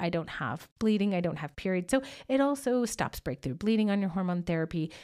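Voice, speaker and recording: The recording is very clean with a silent background as a woman speaks at a medium pitch with lively intonation and a fairly quick pace. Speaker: women's health doctor and podcast host. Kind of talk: solo educational podcast monologue. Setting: studio, recording alone without audience. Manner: fast.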